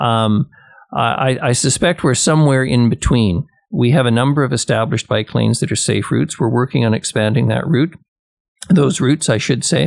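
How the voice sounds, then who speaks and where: A man talks at a fairly quick pace with vocal fry and very even loudness, in a dry, close sound with no echo. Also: medium pitch for a man, lively intonation. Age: 70s. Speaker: city mayor. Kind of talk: radio interview. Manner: hesitant, many fillers.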